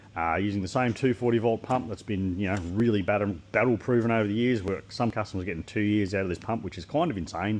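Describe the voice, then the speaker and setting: A man with an Australian accent speaks very fast at a fairly low pitch. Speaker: equipment maker demonstrating product. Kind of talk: product walkthrough. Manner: casual.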